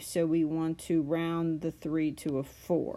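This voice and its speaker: The pace from this woman is very slow. Her fairly low voice has a dark, mellow tone. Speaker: math teacher. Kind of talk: tutorial.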